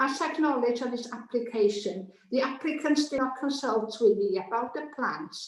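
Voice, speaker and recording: A woman with a Welsh accent speaks at a moderate pace, her high pitch showing ordinary variation. There is noticeable background noise and audible room echo. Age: 70s. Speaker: objecting neighbour, public speaker. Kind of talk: public objection statement at planning committee. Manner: reading prepared statement.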